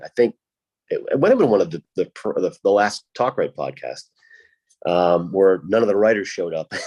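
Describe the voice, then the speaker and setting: A man speaks at a fairly low pitch with very wide pitch swings. The sound is dry and close, with no echo. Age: 40s. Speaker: author and podcast host. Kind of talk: casual chat.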